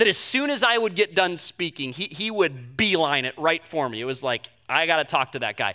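A man speaks in a raised, projected voice with a bright, sharp tone at a moderate pace, the sound dry and close with no echo on a very clean recording with a silent background. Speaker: pastor. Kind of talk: sermon. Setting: church. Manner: halting.

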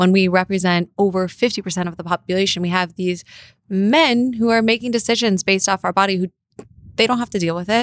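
In a General American accent, a woman talks at a very fast pace with medium pitch and ordinary pitch variation, the sound dry and close with no echo. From US West Coast, Los Angeles. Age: 20s. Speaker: political commentator and online show host. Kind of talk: casual chat. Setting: studio.

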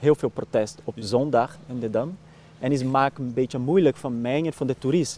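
Someone with a Brazilian accent and a dark, mellow tone speaks at a moderate pace. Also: man, medium pitch for a man, ordinary pitch variation, dry, close sound with no echo. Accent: Brazilian Portuguese accent in Dutch. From Brazil, Minas Gerais. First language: Portuguese (speaking Dutch). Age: 30s. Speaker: actor and lookalike performer. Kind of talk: casual interview. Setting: outdoors, walking. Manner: halting.

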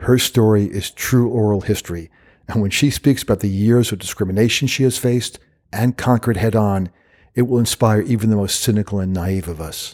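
An ordinary speaking voice from a man, fairly low and fairly quick, with ordinary pitch variation, on a very clean recording with a silent background. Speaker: podcast host. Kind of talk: interview. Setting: in person.

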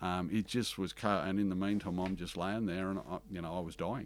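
Very deep, low male speech, very clean recording, silent background. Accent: Australian. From Western Australia, country town. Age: 50s. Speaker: bookkeeping business owner. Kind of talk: interview conversation. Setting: studio in Melbourne. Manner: animated, talks with hands.

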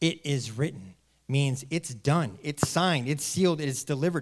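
An unremarkable speaking voice from a man, fairly high in pitch, with lively intonation and a moderate pace. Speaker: guest preacher. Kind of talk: sermon. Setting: church with live congregation. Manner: warm, earnest, rhetorical.

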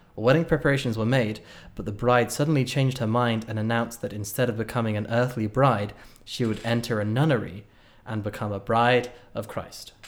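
A man with a British accent, medium-pitched, fairly quick, and fairly even in intonation. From Britain. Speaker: podcast co-host. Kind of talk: casual chat.

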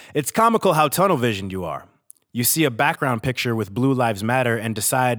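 A man's medium-pitched voice with vocal fry and lively intonation. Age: 30s. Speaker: podcast host. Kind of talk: casual monologue. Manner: halting.

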